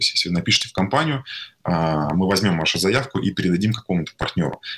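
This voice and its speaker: A man speaks at a very fast pace with a fairly low pitch. His intonation is lively. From Tatarstan, Russia (small town, then Kazan). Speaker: tech company CEO. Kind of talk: interview. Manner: halting, many fillers.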